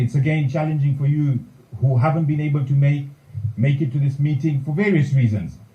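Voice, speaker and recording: In a Gujarati accent, a man speaks at a fairly quick pace with fairly even intonation. His tone is dark and mellow, somewhat breathy, and there is audible room echo. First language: Kutchi. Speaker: community leader, president-elect. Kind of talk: formal speech. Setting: meeting hall, also streamed online.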